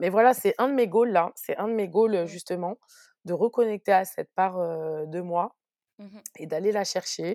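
A woman speaks in a normal speaking voice at a fairly slow pace with ordinary pitch variation. The recording is very clean over a silent background. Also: medium pitch for a woman. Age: 30s. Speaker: press officer and entrepreneur. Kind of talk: casual interview.

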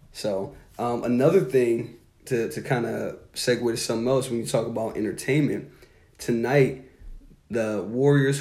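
A man speaks with a somewhat breathy voice and ordinary pitch variation, and audible room echo surrounds him. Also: medium pitch for a man, moderate pace. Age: 30s. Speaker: basketball podcast co-host. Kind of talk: casual chat. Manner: casual, filler-heavy.

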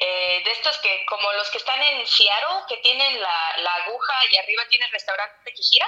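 A woman speaks at a moderate pace in a plain, everyday voice, her pitch fairly high with ordinary pitch variation. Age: 30s. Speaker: podcast guest. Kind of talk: casual chat.

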